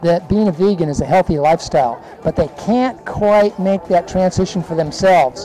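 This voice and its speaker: A high-pitched male voice against noticeable background noise. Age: 70s. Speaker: vegan dog food company owner. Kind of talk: interview. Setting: festival booth. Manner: hesitant, many fillers.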